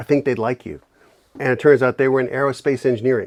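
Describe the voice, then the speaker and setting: At a very fast pace, a man with a New York accent talks in a medium pitch. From New York City, the Bronx. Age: 60s. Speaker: inventor and bourbon maker. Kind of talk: casual interview chat.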